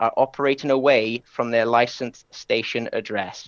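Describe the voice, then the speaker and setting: A man speaks at a moderate pace, the sound dry with no echo and the background quiet. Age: 30s. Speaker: amateur radio operator. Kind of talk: presentation. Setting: live webinar stream. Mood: enthusiastic. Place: home room.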